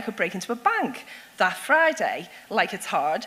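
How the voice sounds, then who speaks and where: Over noticeable background noise, a woman with a Liverpool accent talks at a fairly quick pace in an animated tone, her fairly high pitch swinging very widely. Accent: Scouse (Liverpool). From Liverpool, England. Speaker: security consultant and speaker. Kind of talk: public talk.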